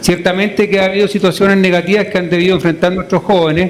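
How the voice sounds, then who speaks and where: High-pitched male speech with noticeable background noise. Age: 50s. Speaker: education researcher. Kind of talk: radio interview. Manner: repeats words often.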